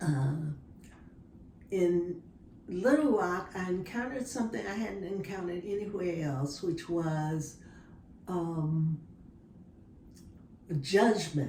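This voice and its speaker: Very slow and broken by long, frequent pauses, a woman speaks in an American accent at a fairly low pitch. Her intonation is lively, and noticeable background noise sits behind her. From Dallas, Texas. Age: 70s. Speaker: retired social worker. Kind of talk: interview answer.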